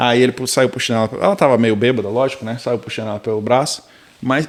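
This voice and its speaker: Very fast speech from a man at a medium pitch, with ordinary pitch variation. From Brazil. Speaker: tech worker immigrant. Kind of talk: casual chat. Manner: animated storytelling.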